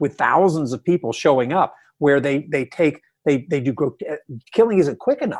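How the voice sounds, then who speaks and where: A man with an American accent and a normal speaking voice talks at a fairly high pitch with lively intonation over a quiet background. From US South. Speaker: retired army general and history professor. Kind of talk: interview. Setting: phone call.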